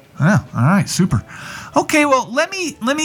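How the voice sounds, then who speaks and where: A man speaks with noticeable background noise in the recording. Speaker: radio host. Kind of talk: comedic talk show interview. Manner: humorous, jokey, sarcastic.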